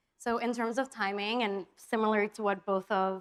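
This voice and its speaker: An unremarkable speaking voice, rather slow, with typical ups and downs in pitch. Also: woman. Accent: American. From New York. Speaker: agency executive. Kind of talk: panel discussion.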